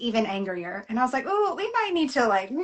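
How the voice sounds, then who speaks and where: Speaking with a Southern US accent, a woman uses a high-pitched voice. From US South. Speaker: novelist. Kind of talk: casual interview. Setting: live video chat.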